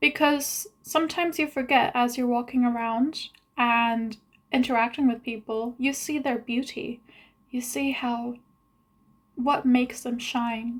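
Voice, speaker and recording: Mumbling at a fairly slow pace, a woman with a high pitch keeps her intonation fairly even on a very clean recording with a silent background. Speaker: vlogger. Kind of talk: video diary monologue. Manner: long pauses.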